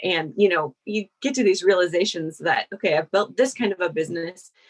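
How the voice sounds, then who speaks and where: Using ordinary pitch variation, a woman speaks in a medium pitch at a moderate pace. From US Midwest, Iowa. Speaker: sales copywriter. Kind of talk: podcast interview.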